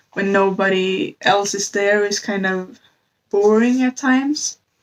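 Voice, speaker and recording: A woman with a non-native accent speaks with fairly even intonation. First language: not English. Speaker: book reviewer. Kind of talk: casual book review vlog. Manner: halting, with self-corrections.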